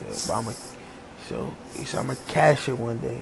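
There is noticeable background noise behind this man. He talks at a moderate pace with a medium pitch. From Virginia, US. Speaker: podcaster. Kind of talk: casual monologue.

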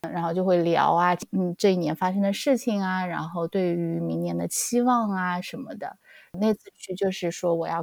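Using a normal speaking voice, a woman talks at a moderate pace and medium pitch with ordinary pitch variation, in a dry, close recording with no echo. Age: young. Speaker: podcast co-host. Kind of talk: casual chat.

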